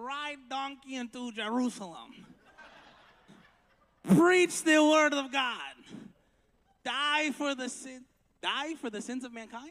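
In a put-on character voice with an extremely high pitch, a man talks at a very slow pace with long, frequent pauses on a very clean recording with a silent background. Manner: comic.

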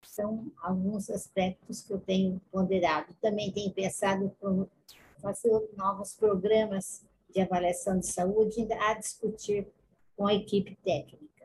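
Somewhat breathy, a woman speaks at a fairly slow pace with a medium pitch. Her intonation is monotone and flat. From Brazil, Campinas (São Paulo state). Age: 80s+. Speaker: retired nurse. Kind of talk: interview.

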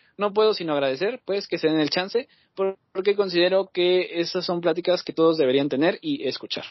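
A man speaks at a fairly quick pace. His pitch is high, with ordinary variation. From Mexico. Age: 20s. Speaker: podcast host. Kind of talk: casual chat. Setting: video call.

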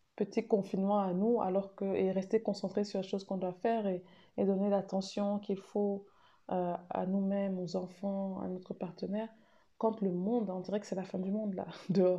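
At a moderate pace, this woman talks with a monotone, flat intonation. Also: medium pitch for a woman. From Cameroon. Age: 30s. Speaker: women's rights consultant and mother. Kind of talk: recorded testimony.

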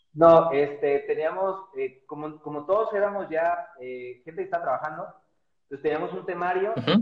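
The speaker is a man with a high pitch. He moves at a fairly quick pace. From Mexico, Guadalajara. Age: 40s. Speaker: physiotherapist. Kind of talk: interview. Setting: Instagram live video.

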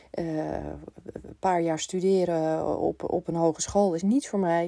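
On a very clean recording with a silent background, a woman speaks in a dark, mellow tone, fairly low in pitch with fairly even intonation. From Netherlands, Amsterdam. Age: 50s. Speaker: business coach. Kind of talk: podcast monologue. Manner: hesitant, many filler sounds.

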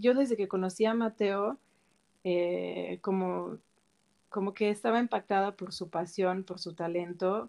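Dark and mellow in tone, this voice moves at a fairly slow pace with ordinary pitch variation. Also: woman. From Switzerland. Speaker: cook. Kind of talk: casual chat.

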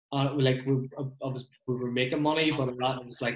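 A man talks. His delivery is monotone, with flat intonation. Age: 30s. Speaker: podcast host and removals business owner. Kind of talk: casual chat. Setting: video call.

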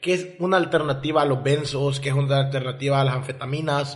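A man's fairly high voice at a fairly quick pace, fairly even in intonation, with audible room echo and noticeable background noise. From El Salvador. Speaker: podcast guest, communications graduate. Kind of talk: casual interview about addiction and rehab.

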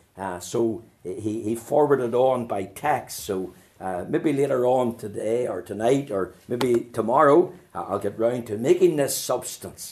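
A man uses a medium pitch, ordinary pitch variation and a fairly slow pace as he talks. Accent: Northern Irish. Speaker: pastor. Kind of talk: sermon.

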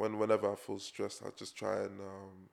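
In a London accent, a man talks at a fairly quick pace. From England. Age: 20s. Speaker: fashion designer. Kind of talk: casual chat.

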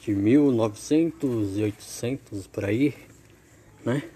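The man talks very slowly, his voice sitting at a medium pitch. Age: 20s. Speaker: amateur podcaster. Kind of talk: practice podcast monologue. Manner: repetitive filler "né".

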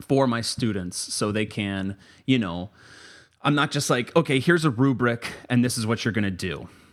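With a plain, everyday voice and an American accent, a man talks at medium pitch and a moderate pace with lively intonation, on a very clean recording with a silent background. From Florida (Tampa). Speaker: poet and writing teacher. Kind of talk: casual chat.

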